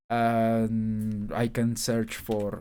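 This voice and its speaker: This man has a Spanish accent. His recording is very clean and the background is silent. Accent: Spanish-accented English, noticeable. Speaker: YouTuber, aspiring programmer. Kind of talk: screen-share tech showcase. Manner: halting, many fillers and restarts.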